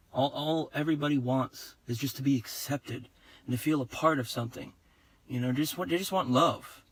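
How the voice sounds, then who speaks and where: A man's plain, everyday voice, fairly high in pitch, fairly quick in pace and ordinary in pitch variation. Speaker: video blogger. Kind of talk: casual monologue.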